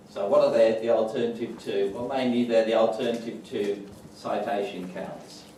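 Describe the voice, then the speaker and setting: Spoken at a moderate pace in a strong Wolverhampton accent, the voice carries audible room echo and noticeable background noise. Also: man. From England, West Midlands, Wolverhampton. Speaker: professor. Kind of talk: lecture. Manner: hesitant with frequent fillers.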